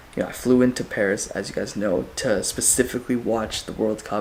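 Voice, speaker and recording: Noticeable background noise sits behind a man talking at a fairly quick pace. His medium pitch keeps a fairly even intonation. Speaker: travel vlogger. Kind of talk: vlog to camera. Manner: casual, filler-heavy.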